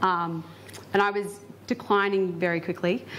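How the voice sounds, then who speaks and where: In a plain, everyday voice, a woman speaks at a medium pitch with fairly even intonation. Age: 20s. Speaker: flu patient sharing case study. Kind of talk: personal testimony at public talk. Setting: symposium with live audience. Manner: casual, many filler words.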